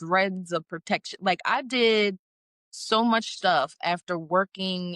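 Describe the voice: Someone does plain reading aloud against a quiet background.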